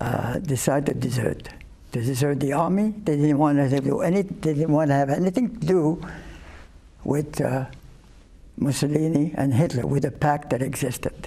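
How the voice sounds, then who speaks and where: This man's voice is dark and mellow in tone, somewhat breathy, and fairly high in pitch. He keeps a moderate speed with ordinary pitch variation. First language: not English (European). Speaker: Holocaust survivor. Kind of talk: interview. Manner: halting, many fillers.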